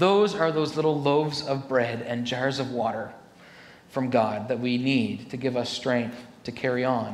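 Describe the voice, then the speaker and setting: A man speaks at a medium pitch and a moderate pace, with ordinary pitch variation. Noticeable background noise runs behind him. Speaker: Baptist pastor. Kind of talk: sermon delivered to a congregation.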